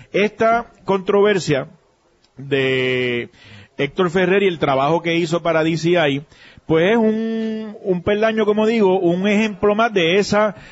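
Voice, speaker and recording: A man speaks with lively intonation. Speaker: political commentator. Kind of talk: political analysis talk. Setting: remote broadcast at a pharmacy.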